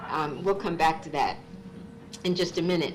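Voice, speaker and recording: Over noticeable background noise and audible room echo, a woman talks at a moderate pace with an American accent. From Massachusetts, US. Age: 60s. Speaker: author and psychologist. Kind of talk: public talk.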